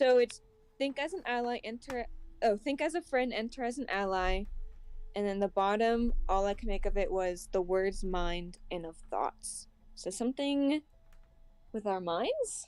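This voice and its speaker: Fairly slow, lively-intoned speech from a woman with a fairly high pitch, in a very clean recording with a silent background. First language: German. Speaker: tabletop role-play player. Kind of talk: casual chat.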